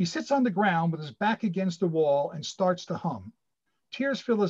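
The background stays quiet while an unforced reading voice moves with lively intonation.

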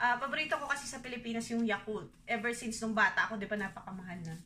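A woman's fairly high voice at a very fast pace, with ordinary pitch variation and light background noise. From Philippines. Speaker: vlogger. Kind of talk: grocery haul vlog. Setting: at home. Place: kitchen. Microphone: phone near.

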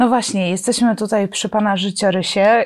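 The woman's intonation stays fairly even, and the background around her is quiet. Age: middle-aged. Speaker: journalist; interviewer, journalist. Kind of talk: interview. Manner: hesitant, many filler sounds. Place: studio. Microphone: lapel.

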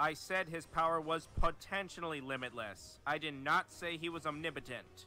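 Over faint background music, a man speaks at a high pitch in a dry sound with no echo. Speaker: streamer explaining a game character. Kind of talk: commentary. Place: home room.

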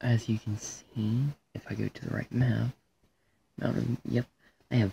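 Dark, mellow, somewhat breathy speech at a moderate pace, with a dry, close sound and no echo. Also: man. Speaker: gaming YouTuber. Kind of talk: gameplay commentary. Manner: hesitant, many fillers.

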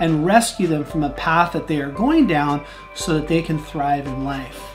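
A man's high-pitched voice at a moderate pace with ordinary pitch variation, over clear music in the background. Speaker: vlogger. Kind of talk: personal story vlog. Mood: somber, emotional. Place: home room.

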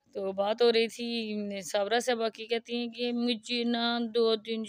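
In a monotone, flat intonation, a woman with a fairly high pitch speaks at a very slow pace. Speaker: vlogger reviewing other channels. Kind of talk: casual commentary vlog.

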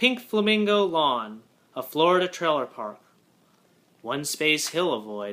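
Pausing often and at length, a man speaks at a fairly slow pace. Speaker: poetry reader. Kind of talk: poetry reading, haiku sequence read aloud. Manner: measured, deliberate, with pauses between haiku. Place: home room. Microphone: webcam.

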